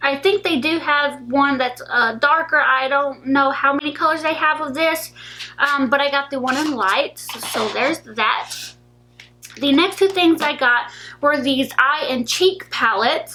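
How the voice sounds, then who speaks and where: Over noticeable background noise, a woman uses a raised, projected, high-pitched voice with ordinary pitch variation at a fairly slow pace. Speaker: beauty vlogger. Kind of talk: product haul video. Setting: in her room. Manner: casual, filler-heavy.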